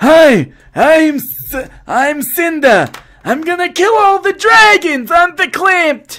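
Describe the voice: This is a put-on character voice with an extremely high pitch. The pace is fairly slow.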